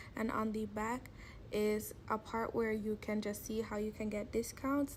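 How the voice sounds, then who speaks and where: The voice is somewhat breathy. It moves at a fairly slow pace with fairly even intonation. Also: woman. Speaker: beauty vlogger. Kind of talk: product review voiceover.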